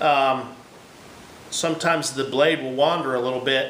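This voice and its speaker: There is noticeable background noise and audible room echo. Through it, a man talks at a moderate pace. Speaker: woodworker. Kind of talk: tutorial. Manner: loud; hesitant.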